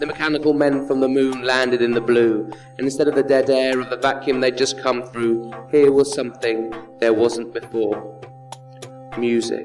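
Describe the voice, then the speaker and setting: Flat, monotone delivery at a moderate pace over background music. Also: man, medium pitch for a man. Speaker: spoken word poet. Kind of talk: spoken word poetry performance.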